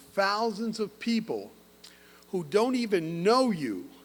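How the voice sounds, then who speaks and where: Against audible room echo, a man speaks very slowly in a high pitch with lively intonation. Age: 60s. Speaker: physician and medical educator giving keynote. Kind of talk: ceremony keynote speech. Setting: opera house stage with audience. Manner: animated.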